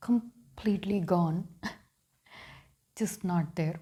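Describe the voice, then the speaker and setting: A woman with a dark, mellow tone sounds somewhat breathy. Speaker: spiritual vlogger. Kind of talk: reflective monologue. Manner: halting.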